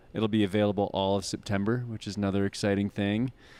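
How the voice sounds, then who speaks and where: A man's fairly low voice on a very clean recording with a silent background. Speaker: arts venue staff. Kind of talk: live show interview. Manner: loud.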